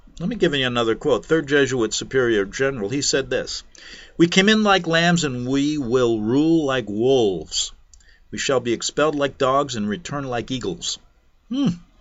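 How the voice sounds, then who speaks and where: A man with an ordinary speaking voice, a fairly high pitch, lively intonation and a moderate pace. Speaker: talk radio host. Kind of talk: talk radio monologue.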